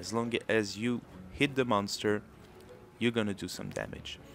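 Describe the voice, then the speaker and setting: The voice carries a French accent and moves at a moderate pace. Its intonation is flat and monotone. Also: man. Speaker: gaming video creator. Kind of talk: tutorial.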